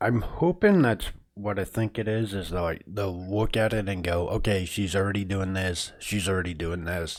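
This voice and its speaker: With hardly any pauses, a man talks at a moderate pace, his fairly low pitch held in fairly even intonation. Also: very clean recording, silent background. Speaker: video game streamer. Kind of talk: casual live stream chat. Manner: hesitant, many fillers.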